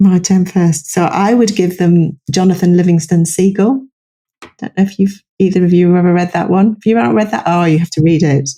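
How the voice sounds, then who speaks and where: This woman has a dark, mellow, somewhat breathy tone at fairly low pitch, talking fairly quickly with ordinary pitch variation. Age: 60s. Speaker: psychologist and author. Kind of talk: podcast interview.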